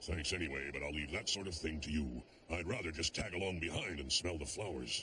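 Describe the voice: A man does a cartoonish character voice at a very deep, low pitch. He goes at a fairly quick pace over clear background noise.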